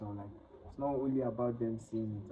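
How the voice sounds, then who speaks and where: Here a man speaks in a Nigerian accent at medium pitch. His pace is moderate and his intonation fairly even. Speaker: international student. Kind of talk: interview.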